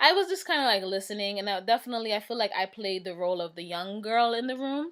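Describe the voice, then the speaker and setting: A woman with very wide pitch swings at a fairly quick pace. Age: 20s. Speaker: video blogger. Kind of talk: casual vlog monologue. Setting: at home. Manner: fast.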